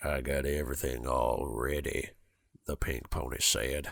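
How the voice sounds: Putting on a gruff character voice with a Southern US accent, a man speaks at a fairly slow pace with very deep, low pitch and fairly even intonation.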